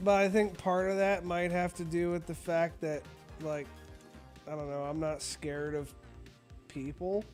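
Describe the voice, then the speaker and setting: A man speaks at a moderate pace in a high-pitched voice, with long, frequent pauses and music playing in the background. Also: fairly even intonation. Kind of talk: casual gaming stream talk. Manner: casual, profane.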